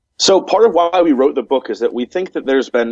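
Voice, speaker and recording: A man with an American accent at a very fast pace, dry and close with no echo. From United States. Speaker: humanist chaplain and author. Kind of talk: interview. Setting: remote call.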